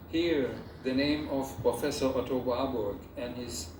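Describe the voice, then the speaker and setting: With noticeable background noise and audible room echo, a man speaks at a fairly slow pace. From Germany, Rhineland. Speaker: photographer. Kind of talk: ceremony speech. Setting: theater with audience.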